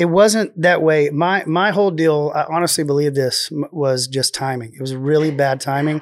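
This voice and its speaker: A man with a Texan accent talks at a fairly high pitch. He hardly pauses at all. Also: ordinary pitch variation, moderate pace. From Texas, Waco area. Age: 40s. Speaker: singer-songwriter. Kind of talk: casual chat. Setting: studio. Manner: quiet.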